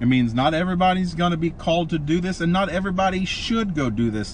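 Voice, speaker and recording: A man at a fairly quick pace with very wide pitch swings, against noticeable background noise. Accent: American. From Oklahoma. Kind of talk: casual faith-teaching chat.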